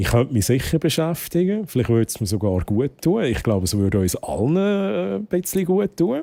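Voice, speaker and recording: A man's voice with a dark, mellow tone swings very widely in pitch. The recording is very clean, with a silent background. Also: dry, close sound with no echo. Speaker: streamer. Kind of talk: live stream chat.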